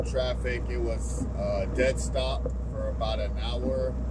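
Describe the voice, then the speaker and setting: A man is speaking. Loud background noise can be heard. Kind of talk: casual vlog chat. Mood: relaxed, resigned. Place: car. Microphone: camera far.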